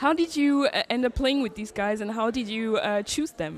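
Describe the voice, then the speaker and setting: Through noticeable background noise, a woman with a French accent talks at a fairly quick pace in a high pitch. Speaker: interviewer. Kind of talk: interview. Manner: halting.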